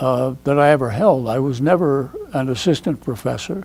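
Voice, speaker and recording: Noticeable background noise is present as a man speaks at a fairly slow pace. His voice is fairly high, with ordinary pitch variation. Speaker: retired professor of educational media. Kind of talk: oral history interview. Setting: school media services building. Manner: halting, many fillers.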